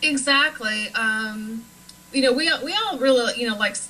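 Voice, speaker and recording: A woman with an American accent at a moderate pace, ordinary pitch variation and noticeable background noise. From Nebraska, US Midwest. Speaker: paranormal author and cemetery tour guide. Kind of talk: talk show interview.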